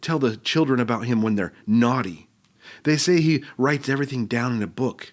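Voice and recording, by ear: Pitch moves in an ordinary way as a text is read aloud in a natural voice.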